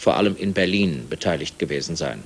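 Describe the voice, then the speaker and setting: Lively intonation marks this man's speech. His pace is moderate. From Germany. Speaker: TV news anchor. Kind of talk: TV news reading. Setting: studio, 1981 TV broadcast. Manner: formal, measured. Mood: calm, formal, neutral. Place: studio.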